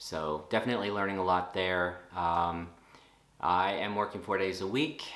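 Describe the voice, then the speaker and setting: With an American accent, a man speaks at a moderate pace in a very deep, low voice with ordinary pitch variation. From Texas, USA. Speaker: nurse. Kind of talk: casual talk to camera.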